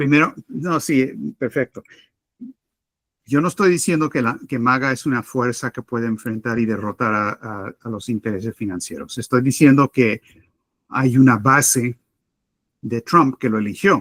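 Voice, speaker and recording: With a Spanish accent, a man speaks at medium pitch and a moderate pace. Long, frequent pauses break up his speech. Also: ordinary pitch variation. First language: Spanish (speaking Portuguese). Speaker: political analyst. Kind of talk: debate answer.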